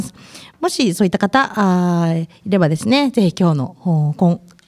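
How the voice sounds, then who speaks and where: A woman speaks at a moderate pace and a medium pitch, with a dark, mellow tone. Her intonation is lively, and the sound is dry and close, with no echo. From Akita, Kita-Akita. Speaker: recruiter and guest MC, former reporter. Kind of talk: casual interview.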